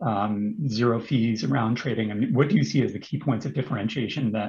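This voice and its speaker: A man speaks with an American accent and vocal fry at a medium pitch. His pace is fairly quick, with ordinary pitch variation. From United States. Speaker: webinar moderator. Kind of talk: webinar panel discussion. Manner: repetitive, halting.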